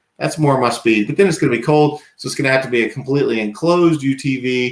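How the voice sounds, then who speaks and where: Talking at a very fast pace, a man with an American accent uses a medium pitch and ordinary pitch variation. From US South, Danville, Virginia. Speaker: firearms industry employee. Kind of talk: casual podcast chat.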